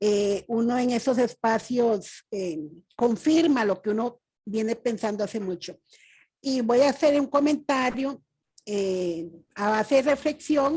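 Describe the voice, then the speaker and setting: Against a quiet background, a woman with a fairly high pitch talks at a very slow pace, her intonation lively and her tone dark and mellow. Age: 60s. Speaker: audience member. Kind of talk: testimony.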